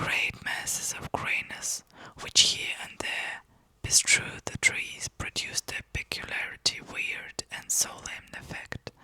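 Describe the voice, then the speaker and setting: A woman whispers in a soothing tone at a very slow pace. The sound is dry and close with no echo, though background noise is noticeable. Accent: non-native. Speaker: ASMR content creator, book channel host. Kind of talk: whispered ASMR book reading. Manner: whispered, soft, soothing.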